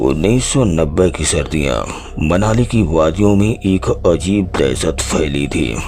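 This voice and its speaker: Over clear background noise, a man uses a put-on character voice with a very deep, low pitch at a fairly slow pace. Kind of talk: horror narration. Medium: read story. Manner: measured, dramatic.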